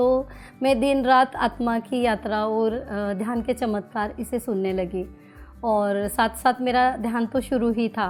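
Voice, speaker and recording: A woman speaks at a fairly high pitch with fairly even intonation while music plays in the background. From Maharashtra. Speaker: teacher. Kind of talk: interview answer.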